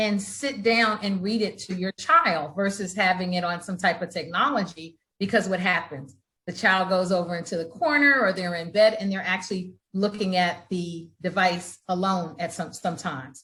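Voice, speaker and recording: A woman talks at a moderate pace with hardly any pauses, her pitch medium and her variation ordinary. Her tone is bright and sharp. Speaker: founder, author, real estate investor. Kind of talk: interview answer.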